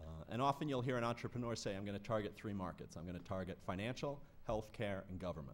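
A man speaks at a very fast pace. His pitch is fairly low. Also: ordinary pitch variation. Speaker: security industry analyst. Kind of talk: conference panel discussion. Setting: stage with audience. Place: hall. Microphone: podium.

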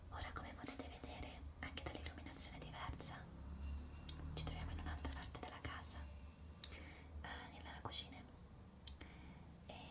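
A woman at a moderate pace, with long, frequent pauses. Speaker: ASMR creator. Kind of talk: ASMR show and tell, whispered casual talk to camera. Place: home room. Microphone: phone near.

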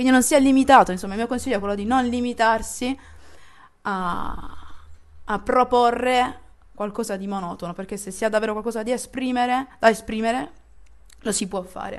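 Over a quiet background, a woman with a fairly high pitch talks at a moderate pace with ordinary pitch variation, big swings in loudness and long, frequent pauses. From Apulia, Italy (Barletta); Apulia, Italy. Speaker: DJ; interviewee. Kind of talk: casual interview. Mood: lively, animated. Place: home room.

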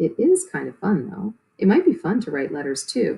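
A female-sounding voice puts on a squeaky character voice at a medium pitch. It is soft-spoken and moves at a moderate pace. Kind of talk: reading a children's book aloud.

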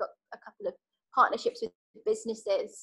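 Against a quiet background, a woman speaks with a British accent. Her pitch is high and her tone is bright and sharp. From UK. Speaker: charity worker; guest. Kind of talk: guest talk. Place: home room. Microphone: video call.

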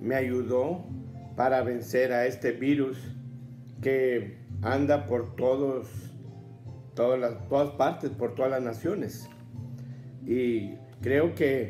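With faint music in the background, a man speaks very slowly with ordinary pitch variation. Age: 70s. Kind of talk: personal testimony talk to camera. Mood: earnest, grateful. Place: home room.

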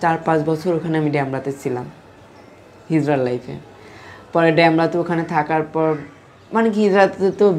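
A woman's very deep, low voice with ordinary pitch variation and light background noise. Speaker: transgender (hijra) interviewee. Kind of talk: interview, life story. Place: home room. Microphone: phone near.

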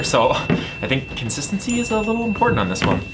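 Music runs underneath while the man is talking. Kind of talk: casual vlog chat. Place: workshop. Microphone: camera far.

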